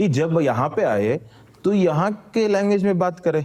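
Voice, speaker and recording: A man with a Malayalam accent speaks with lively intonation. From Kerala, India. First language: Malayalam (speaking Hindi). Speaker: former civil servant and activist. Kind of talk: casual conversation. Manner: simple Hindi mixed with English.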